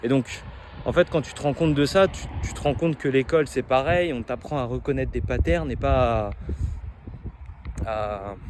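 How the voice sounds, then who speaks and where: The intonation is lively, with big swings in loudness and long, frequent pauses. Background noise is noticeable. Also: man, medium pitch for a man. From France. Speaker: medical student vlogger. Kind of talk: spontaneous vlog monologue. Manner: halting, many repetitions and fillers; fast.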